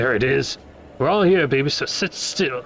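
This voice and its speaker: In a put-on character voice, a man speaks raspy and husky at a medium pitch, moderate pace and lively intonation, with clear background noise. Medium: read story.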